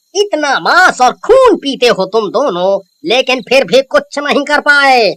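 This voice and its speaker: A high-pitched, cartoonish character voice. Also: moderate pace. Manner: smug, trails lines with "hm?".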